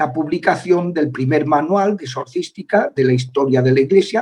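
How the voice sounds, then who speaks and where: A man's somewhat breathy, fairly high voice at a fairly slow pace, with ordinary pitch variation. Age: 60s. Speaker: priest and former exorcist. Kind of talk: interview. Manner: halting, many filler sounds.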